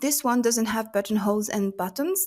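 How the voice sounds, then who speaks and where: Fairly high-pitched woman with a non-native accent and ordinary pitch variation, on a very clean recording with a silent background. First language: not English. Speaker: crochet content creator. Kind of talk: tutorial-style product roundup. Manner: casual with filler words.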